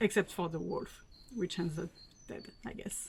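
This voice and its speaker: Ordinary pitch variation from a woman speaking in a French accent. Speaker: fashion unboxing vlogger. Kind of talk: casual talk to camera.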